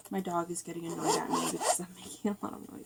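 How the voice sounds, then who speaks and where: A woman's voice over noticeable background noise. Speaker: beauty vlogger. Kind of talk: makeup tutorial. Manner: hesitant, many fillers. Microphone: far from the camera.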